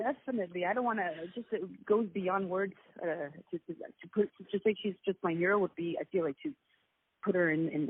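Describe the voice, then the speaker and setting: A woman speaks with a Spanish accent at a fairly quick pace. Her pitch is fairly low, with ordinary variation. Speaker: musician. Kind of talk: interview. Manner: animated; halting.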